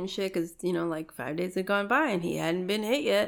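A woman with a Chicago accent, medium pitch, and ordinary pitch variation. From Chicago, Back of the Yards. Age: 30s. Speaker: former paramedic. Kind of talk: casual chat.

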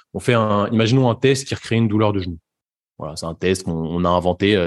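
Against a quiet background, a man speaks at a fairly quick pace with a fairly low pitch and ordinary pitch variation. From Paris suburbs, France. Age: 20s. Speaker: sports physiotherapist. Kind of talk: casual interview. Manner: hesitant, many fillers and repetitions.

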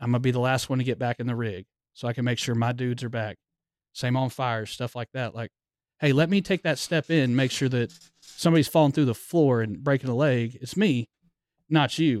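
An ordinary speaking voice belongs to this man, who talks at a fairly quick pace with medium pitch and ordinary pitch variation. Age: 30s. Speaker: firefighter lieutenant. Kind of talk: casual chat.

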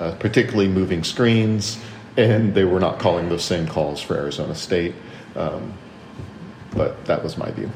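Very deep and low in pitch, a man speaks with long, frequent pauses amid audible room echo and noticeable background noise. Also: ordinary pitch variation, moderate pace. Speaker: sports podcast co-host. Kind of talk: casual sports chat.

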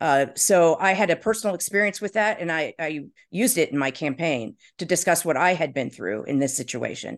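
This woman has a plain, everyday voice with fairly low pitch and lively intonation. She talks at a moderate pace against a quiet background. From Indiana, US Midwest. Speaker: marketing executive and former city council candidate. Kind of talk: interview.

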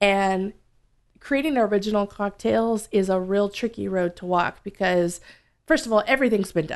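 A woman with an American accent and an unremarkable speaking voice, medium in pitch with ordinary pitch variation, at a moderate pace against a quiet background. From US South. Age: 30s. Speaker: bar owner and bartender. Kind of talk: casual interview.

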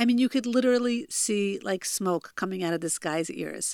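Spoken with a New Jersey accent and ordinary pitch variation, the voice sounds dry and close with no echo in a very clean recording against a silent background. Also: woman. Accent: American (New Jersey). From US, New Jersey. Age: 40s. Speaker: life coach and podcast host. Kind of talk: solo podcast monologue, storytelling. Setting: home recording in childhood bedroom.

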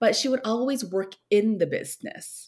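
Moderate pace in an American accent. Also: woman. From South Korea. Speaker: entrepreneur, founder of an online course platform. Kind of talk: casual interview. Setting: remote video call.

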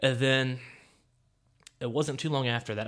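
Fairly even intonation marks the speech of a man with an American accent. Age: 30s. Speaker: podcast host. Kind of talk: casual solo monologue. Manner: words run together; halting, many fillers.

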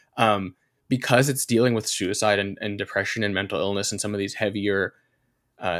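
Fairly quick and fairly low-pitched, a man speaks in a normal speaking voice with ordinary pitch variation on a very clean recording with a silent background. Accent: American. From US South, North Carolina. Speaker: writer and comedian. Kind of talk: casual chat.

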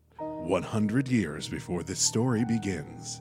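Over faint music in the background, a man puts on a character voice at a medium pitch and a fairly slow pace. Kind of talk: theatrical, storytelling. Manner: dramatic, cinematic narration.

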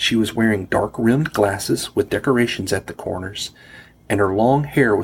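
What this recording captures is plain reading aloud.

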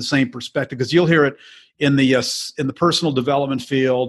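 A man speaks at a medium pitch in a flat monotone. His pace is fairly quick. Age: 60s. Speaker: mortgage note investor. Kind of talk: interview. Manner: repetitive, halting starts.

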